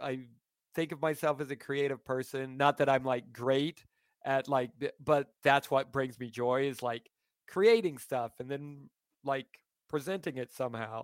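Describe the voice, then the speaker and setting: The pace is fairly slow, in a normal speaking voice. The sound is dry and close, with no echo. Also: man. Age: 40s. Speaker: stand-up comedian. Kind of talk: casual chat.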